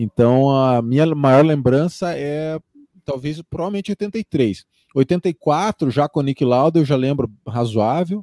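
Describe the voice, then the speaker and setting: In a quiet background with a dry sound and no echo, a man speaks at a very slow pace with a fairly high pitch and a dark, mellow tone. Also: ordinary pitch variation. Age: 40s. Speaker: F1 YouTuber and podcaster, physician; interview guest, podcast host. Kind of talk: casual interview chat. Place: home room. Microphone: studio mic.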